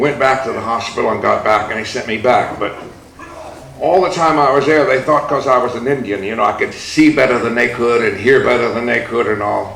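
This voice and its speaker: Noticeable background noise and audible room echo accompany a man speaking. His pitch is medium, with ordinary pitch variation. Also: fairly quick pace. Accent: American. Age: 70s. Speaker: activist. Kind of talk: speech. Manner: animated.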